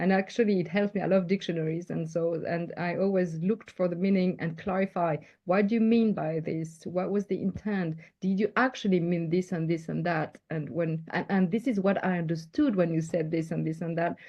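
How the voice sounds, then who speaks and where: Someone talks at a fairly quick pace with a French accent. The intonation stays fairly even. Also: woman, fairly low pitch for a woman. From France. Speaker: leadership coach. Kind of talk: interview.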